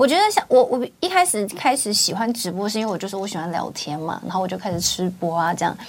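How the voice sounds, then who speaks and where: A woman speaks at a very fast pace with hardly any pauses and ordinary pitch variation. Noticeable background noise runs underneath. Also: medium pitch for a woman. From Taiwan, Kaohsiung. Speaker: livestream host. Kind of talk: casual chat interview. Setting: studio. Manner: animated.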